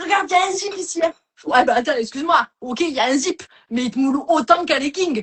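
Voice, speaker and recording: A woman talks in an extremely high voice at a fairly quick pace. Her pitch swings very widely. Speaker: former sewing show contestant, sewing pattern designer. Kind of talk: casual chat. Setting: live stream interview. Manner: loud; animated.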